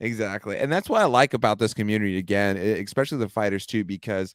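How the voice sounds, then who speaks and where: A man talks very fast with ordinary pitch variation, captured on a very clean recording with a silent background. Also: dry, close sound with no echo. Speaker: MMA podcast host. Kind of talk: casual chat.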